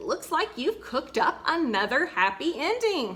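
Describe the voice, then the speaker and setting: A woman puts on a character voice, pitched high. She moves at a moderate pace with very wide pitch swings. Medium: read story.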